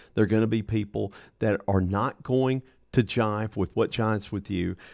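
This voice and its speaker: Against a quiet background, a man speaks at a fairly low pitch and a moderate pace. He has an ordinary speaking voice with ordinary pitch variation. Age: 60s. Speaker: motivational speaker. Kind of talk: motivational monologue.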